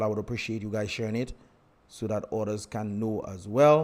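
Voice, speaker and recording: The man's pitch sits at a medium level. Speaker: livestream host and political commentator. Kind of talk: live stream chat. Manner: fast.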